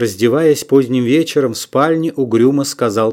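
This is an unforced reading voice. Pitch varies in an ordinary way.

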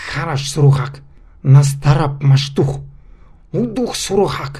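Putting on a character voice, a man sounds raspy and hissing at a fairly high pitch. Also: fairly slow pace. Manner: angry, muttering, hissing through teeth.

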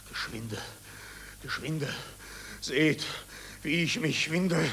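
In a put-on character voice, a man talks at a very slow pace with fairly high pitch, a fairly bright tone, vocal fry and ordinary pitch variation, all with audible room echo.

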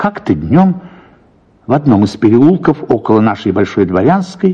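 A man's voice has a dark, mellow tone with a slightly husky edge and big pitch swings.

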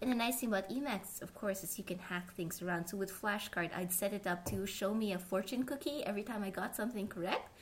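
Speaking at a very fast pace with hardly any pauses, a woman talks at a medium pitch with ordinary pitch variation and a somewhat breathy quality. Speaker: podcast host. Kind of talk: casual interview chat.

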